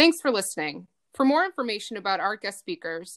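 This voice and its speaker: Speaking at a fairly high pitch, a woman talks with an American accent. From United States. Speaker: podcast co-host. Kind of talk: interview; scripted outro. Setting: video call.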